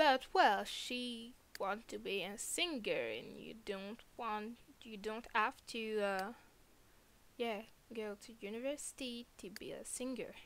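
Fairly high-pitched, a woman speaks at a very slow pace with ordinary pitch variation. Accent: non-native. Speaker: gamer. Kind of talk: casual let's play commentary.

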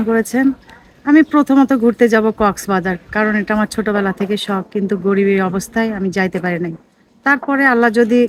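A woman speaks in a normal speaking voice at a fairly high pitch with ordinary pitch variation. The sound is dry and close, with no echo. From Bangladesh, Naogaon (Rajshahi). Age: 30s. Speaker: widow seeking marriage. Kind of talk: interview.

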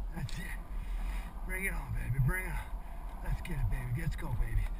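Loud background noise sits behind speech at a moderate pace. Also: man. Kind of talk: self-talk commentary. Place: bicycle. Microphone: phone near.

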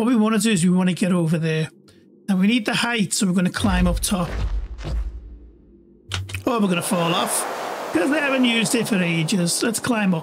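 The speaker talks with a Liverpool accent at a fairly quick pace. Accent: Liverpool (Scouse). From Liverpool, England. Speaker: gaming YouTuber. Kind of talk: casual gameplay commentary.

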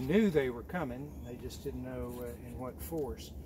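At a fairly slow pace, a man speaks with a dry sound without echo over noticeable background noise. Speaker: hike guide telling local history. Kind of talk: informal historical talk to a group. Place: forest.

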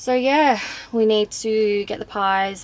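Over light background noise, a woman talks at a fairly slow pace. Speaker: vlogger. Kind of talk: casual vlog chat. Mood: chatty, a bit hot. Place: car. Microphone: phone near.

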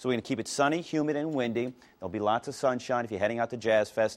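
The speaker is a man. His pitch moves with ordinary variation. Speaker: TV presenter. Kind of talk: weather forecast presentation. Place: studio.

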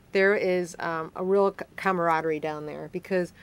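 With an American accent, a woman is speaking. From Chicago, northwest side. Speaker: city council member. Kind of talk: live call-in interview. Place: studio.

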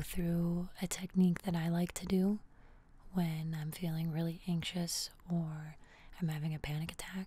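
Soft-spoken and somewhat breathy, a woman speaks in a calm tone at a fairly low pitch and fairly slow pace, with monotone, flat intonation and a dry sound with no echo. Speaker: ASMR creator. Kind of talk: soft calming guided talk. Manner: soft-spoken, calm hushed voice. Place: home room. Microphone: studio mic.

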